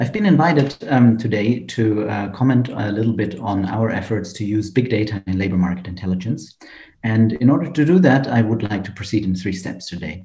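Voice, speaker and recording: A man's somewhat breathy, fairly low voice with a dark, mellow tone, a fairly quick pace and ordinary pitch variation. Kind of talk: conference presentation. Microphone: webcam.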